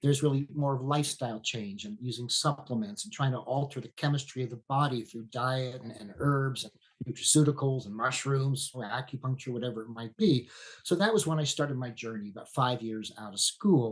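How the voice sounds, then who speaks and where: An American-accented man speaks at medium pitch and a fairly quick pace, with ordinary pitch variation. His voice is somewhat breathy, and the loudness swings widely. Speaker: veterinarian. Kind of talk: podcast interview.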